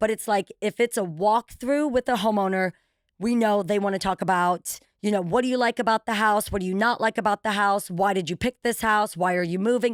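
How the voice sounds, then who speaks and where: A woman with a medium pitch talks in an animated tone at a fairly quick pace, with a dry, close sound and no echo. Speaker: TV show host and real estate broker. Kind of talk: casual chat. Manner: loud.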